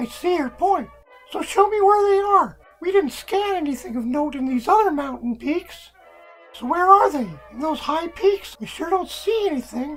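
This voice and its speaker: A put-on character voice, squeaky and extremely high in pitch, speaks at a moderate pace. Faint music plays in the background. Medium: audio drama. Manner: casual, friendly.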